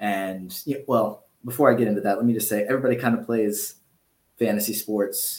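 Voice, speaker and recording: At a fairly quick pace, a man with an American accent speaks in a fairly low pitch with monotone, flat intonation. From US, Georgia. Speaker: fantasy basketball analyst. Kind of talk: casual interview.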